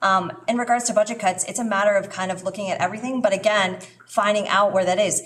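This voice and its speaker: Over noticeable background noise, a woman speaks very fast with fairly even intonation. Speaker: school board candidate. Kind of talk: public forum answer. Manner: halting.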